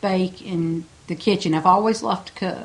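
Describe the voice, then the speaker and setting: A woman with an American accent talks in an unremarkable speaking voice, medium in pitch and moderate in pace. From Smith Island, Maryland (Chesapeake Bay). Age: 60s. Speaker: home baker. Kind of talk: interview monologue. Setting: at home.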